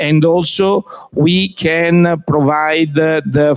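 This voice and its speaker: This man speaks with an Italian accent. His pitch is fairly high. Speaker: company executive presenting. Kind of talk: business presentation. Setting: trade fair pavilion with audience. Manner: halting, many fillers.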